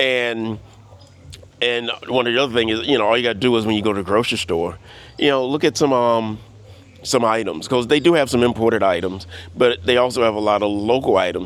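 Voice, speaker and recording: A man talks at medium pitch in an unremarkable speaking voice. His pace is fairly quick and his pitch varies in an ordinary way. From US South (Louisiana and Florida). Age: 60s. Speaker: vlogger. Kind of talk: casual monologue vlog. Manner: relaxed, many fillers.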